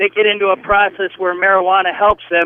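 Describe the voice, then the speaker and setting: Moderate pace, with an American accent. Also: man. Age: 60s. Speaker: caller, war veteran. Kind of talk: radio call-in. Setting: phone call.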